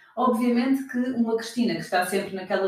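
A woman talks very fast with a European Portuguese accent. Her fairly high pitch has ordinary variation, and there is noticeable background noise. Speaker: podcast host and health business consultant. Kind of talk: casual interview chat.

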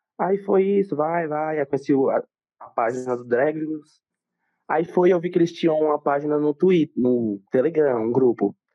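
A man with an unremarkable speaking voice talks at a moderate pace. His pitch is fairly high and varies in an ordinary way. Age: young. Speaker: student and aspiring influencer. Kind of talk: casual chat.

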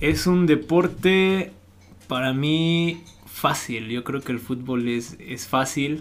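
Over noticeable background noise, a man speaks very slowly at a fairly high pitch for a man, with ordinary pitch variation. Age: 20s. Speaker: professional footballer. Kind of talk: interview.

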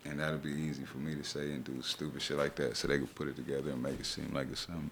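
A man speaks at a very fast pace with a very deep, low pitch. His voice shows vocal fry, and his intonation is fairly even. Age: 30s. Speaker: rapper and actor. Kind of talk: casual chat.

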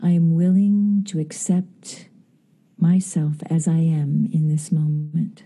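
A woman speaks at a very slow pace in a soothing, gentle, dark and mellow tone that is somewhat breathy. Her intonation is fairly even, and her loudness stays very even. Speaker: actress and Reiki master. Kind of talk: guided meditation. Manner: slow, soothing, gentle.

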